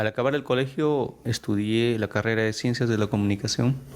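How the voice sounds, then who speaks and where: Speaking at a moderate pace, a man with a medium-pitched voice keeps his loudness very even and his intonation fairly even. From Peru, Apurímac (Andes). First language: Quechua (bilingual with Spanish) (speaking Spanish). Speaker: Quechua language teacher. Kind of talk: interview testimony.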